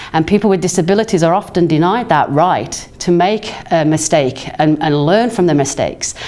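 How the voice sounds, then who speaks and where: Against noticeable background noise, a woman with a fairly low pitch speaks at a moderate pace with hardly any pauses, ordinary pitch variation and very even loudness. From England. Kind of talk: recorded talk. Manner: halting, many fillers.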